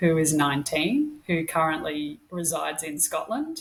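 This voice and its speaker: A woman speaks with an Australian accent at a fairly low pitch. Her pace is fairly slow. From Australia, Queensland (Brisbane). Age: 40s. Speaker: podcast co-host, registered nurse. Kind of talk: casual interview chat.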